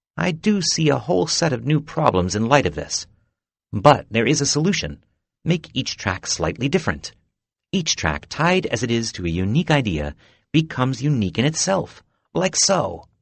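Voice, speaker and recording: A man puts on a croaky character voice with a medium pitch and very wide pitch swings. He delivers it at a moderate pace. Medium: read story. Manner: brisk, fussy.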